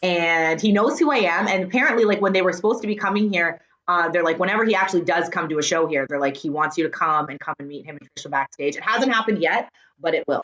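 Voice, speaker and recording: Talking at a very fast pace, a woman with a fairly low pitch sounds animated, her intonation lively and her loudness swinging widely. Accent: slight Canadian. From Canada, Surrey BC. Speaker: radio host and voice actor. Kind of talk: casual interview chat.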